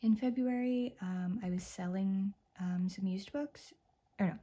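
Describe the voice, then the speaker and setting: A woman's medium-pitched, somewhat breathy voice, dark and mellow in tone, with ordinary pitch variation. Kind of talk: casual talk to camera; ASMR book flip-through. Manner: soft-spoken; relaxed, cozy.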